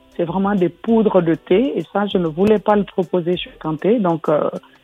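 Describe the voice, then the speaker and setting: A woman speaks at a fairly slow pace with a medium pitch and ordinary pitch variation. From Guinea. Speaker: tea company founder. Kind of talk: interview. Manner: frequent hesitations (euh).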